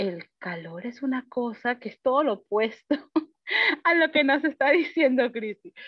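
Very wide pitch swings run through speech delivered at a fairly slow pace. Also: woman, high pitch for a woman. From Peru and Panama. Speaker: teacher. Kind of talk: panel discussion. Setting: video call.

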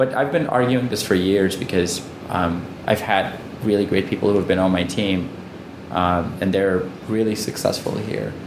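At a moderate pace, a man with a fairly low pitch and ordinary pitch variation speaks amid audible room echo and noticeable background noise. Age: 30s. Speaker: entrepreneur, company CEO. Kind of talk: interview. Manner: frequent filler words.

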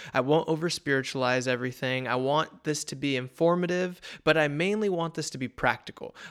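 A man's unremarkable speaking voice, fairly high in pitch with ordinary pitch variation, at a fairly quick pace with hardly any pauses, on a very clean recording with a silent background. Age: 20s. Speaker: podcast host and father. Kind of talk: casual monologue.

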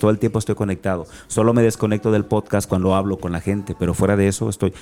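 At a very fast pace with hardly any pauses, a man uses a fairly low pitch, a dark, mellow tone and fairly even intonation on a very clean recording with a silent background. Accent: slight Guerrero. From Acapulco, Guerrero, Mexico. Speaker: motivational speaker. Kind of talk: interview conversation.

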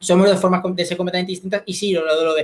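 In a Spanish accent, a man speaks at a high pitch with fairly even intonation. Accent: Spanish from Spain. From Spain. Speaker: competitive debater and local councillor. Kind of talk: interview. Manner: fast.

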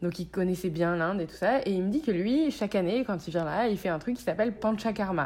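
An ordinary speaking voice moves at a fairly quick pace with lively intonation and hardly any pauses. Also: woman, medium pitch for a woman. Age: 30s. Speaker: chef and cookbook author. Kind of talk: casual chat.

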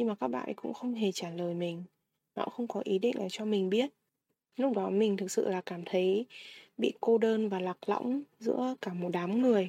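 A woman speaks at medium pitch in a dark, mellow tone with ordinary pitch variation. Her pace is moderate, and the sound is dry and close with no echo. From Vietnam. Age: 20s. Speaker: podcast host. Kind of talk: personal monologue podcast.

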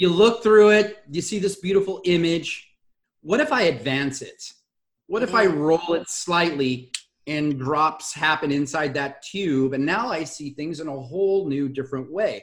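Here a man speaks in a Southern Californian accent at a fairly high pitch. His pace is moderate and his pitch variation ordinary. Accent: Southern California American. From US West Coast, Los Angeles area. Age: 50s. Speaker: communication facilitator and speaker. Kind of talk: casual interview chat. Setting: video call.

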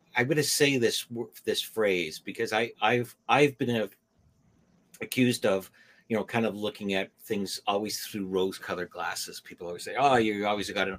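A man talking at a moderate pace with ordinary pitch variation. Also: fairly low pitch for a man. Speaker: podcast co-host. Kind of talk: casual chat. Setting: video call. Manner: halting.

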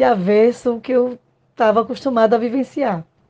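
A woman's fairly high-pitched voice with a dark, mellow tone, at a moderate pace over a quiet background. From Pernambuco, Brazil. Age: 50s. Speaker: psychologist. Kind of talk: interview.

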